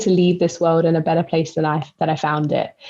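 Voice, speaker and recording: Speaking with a London accent, a woman talks at a fairly quick pace in a fairly low pitch. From East London. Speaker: spoken word poet and educator. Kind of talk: podcast interview answer.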